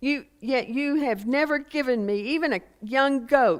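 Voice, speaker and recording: Her intonation is lively, and she speaks at a fairly slow pace. The woman has a Texas accent. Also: very clean recording, silent background. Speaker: preacher. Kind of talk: scripture reading; sermon.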